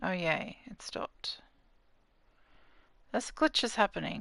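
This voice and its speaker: The speaker has an Australian accent and talks at a fairly slow pace with very wide pitch swings, and the background is quiet. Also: woman. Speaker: gaming streamer. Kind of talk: casual gameplay livestream commentary. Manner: chatty, talking to chat viewers.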